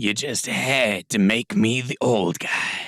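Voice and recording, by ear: A man puts on a gravelly character voice at a medium pitch. He delivers it at a fairly slow pace.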